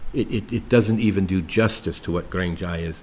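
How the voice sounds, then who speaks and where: Somewhat breathy, a man speaks at a moderate pace in a very deep, low voice. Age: 70s. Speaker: retired expat. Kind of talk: interview. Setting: indoors after rain.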